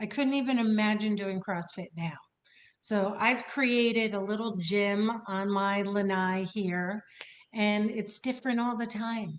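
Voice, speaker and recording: In a normal speaking voice, the words come at a fairly slow pace, the intonation fairly even. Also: woman, medium pitch for a woman. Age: 60s. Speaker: wellness coach. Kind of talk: casual chat.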